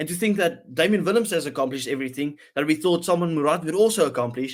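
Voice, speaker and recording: Lively intonation comes through in a voice with a South African accent, captured on a very clean recording with a silent background. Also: man. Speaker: rugby podcast host. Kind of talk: casual chat.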